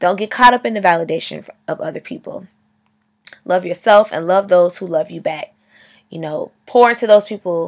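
A woman with an animated tone talks at a moderate pace in a very clean recording with a silent background. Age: 20s. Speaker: podcast host. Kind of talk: motivational monologue. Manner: loud.

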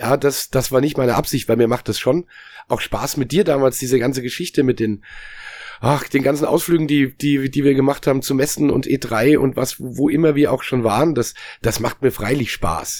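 A plain, everyday voice from a man, fairly even in intonation, medium-pitched and at a moderate pace. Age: 40s. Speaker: musician and former games journalist. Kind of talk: casual chat. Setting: video call.

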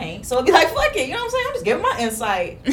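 Background noise is noticeable as a woman speaks very quickly. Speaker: podcast host. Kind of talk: casual chat. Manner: open, loud, blunt.

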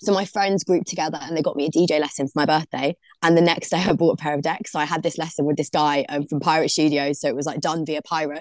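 A woman with a South London accent and a very deep, low pitch, talking at a very fast pace with hardly any pauses and fairly even intonation, in a dry, close sound with no echo. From London, Brixton. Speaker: DJ. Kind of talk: casual interview.

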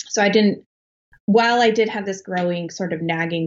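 In a General American accent, a woman speaks at a fairly quick pace and medium pitch with ordinary pitch variation, in an unremarkable speaking voice. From Colorado, US. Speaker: author. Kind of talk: interview.

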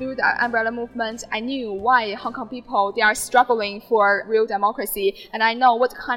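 A woman's fairly high voice at a fairly quick pace, with fairly even intonation and hardly any pauses, over noticeable background noise. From mainland China. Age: 20s. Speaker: mainland student in Hong Kong. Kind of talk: interview testimony.

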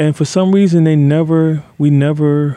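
A man's dark, mellow tone carries his speech at a moderate pace. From US Midwest, Detroit. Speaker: youth mentoring program leader. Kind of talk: interview testimony.

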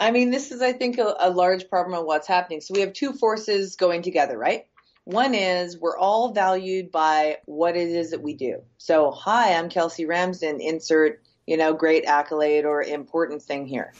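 An ordinary speaking voice with a Canadian accent comes through. The pace is moderate, and the intonation is lively. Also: woman, fairly low pitch for a woman. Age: 40s. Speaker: entrepreneur. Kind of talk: podcast interview.

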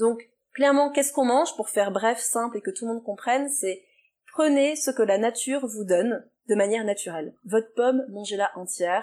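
A woman with a dark, mellow tone and a fairly high pitch talks at a fairly quick pace with ordinary pitch variation. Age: 30s. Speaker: nutrition therapist. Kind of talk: interview answers.

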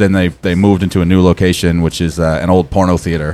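With music in the background, a man talks fairly quickly in a very deep, low voice. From Maine, Portland. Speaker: metal band singer and guitarist. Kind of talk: casual chat.

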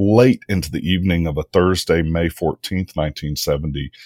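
A man with a Mississippi accent, very deep and low in pitch, at a fairly quick pace. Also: dry, close sound with no echo. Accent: US Southern (Mississippi). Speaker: history professor. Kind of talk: interview.

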